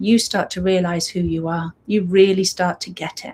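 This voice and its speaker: A woman's warm, somewhat breathy tone with monotone, flat intonation. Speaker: breathwork facilitator. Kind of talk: casual chat before a guided breathwork session. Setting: live stream. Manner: warm, unscripted.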